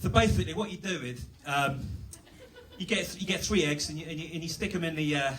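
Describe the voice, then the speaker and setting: A man with a British accent speaks very fast at a fairly high pitch, his intonation lively. Audible echo fills the room. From England. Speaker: comedian. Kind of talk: stand-up. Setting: stage with audience. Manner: halting.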